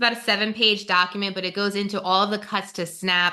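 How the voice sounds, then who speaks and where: A woman's bright, sharp voice in a New Jersey accent, fairly quick and monotone with flat intonation. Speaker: webinar moderator, nonprofit policy staff. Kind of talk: webinar presentation. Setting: online webinar.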